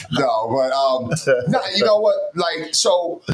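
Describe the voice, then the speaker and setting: Noticeable background noise sits under the recording. A man speaks with an American accent. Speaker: sports talk show co-host. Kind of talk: casual chat. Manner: animated.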